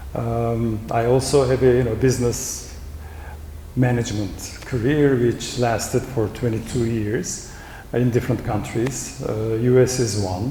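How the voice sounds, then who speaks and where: This man, at a medium pitch, talks at a fairly slow pace with fairly even intonation, with audible room echo and noticeable background noise. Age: 60s. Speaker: professor and rowing coach. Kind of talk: panel discussion.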